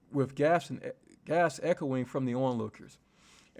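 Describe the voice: The text is read aloud plainly. Its pitch moves with ordinary variation.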